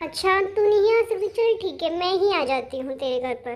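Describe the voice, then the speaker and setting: A woman's cartoonish character voice, extremely high in pitch, with very wide pitch swings and a fairly quick pace. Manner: insistent, sulky.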